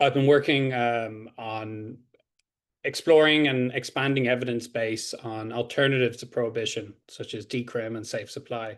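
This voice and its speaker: A man with an Irish accent at medium pitch and a moderate pace, with fairly even intonation and big swings in loudness, over a quiet background. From Ireland. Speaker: PhD candidate, criminology researcher. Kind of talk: academic presentation.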